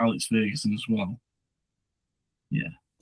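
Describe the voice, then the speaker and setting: With a Stoke accent, a man speaks at a moderate pace in a dry, close sound with no echo. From Stoke-on-Trent, England. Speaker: football podcast co-host. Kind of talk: casual chat.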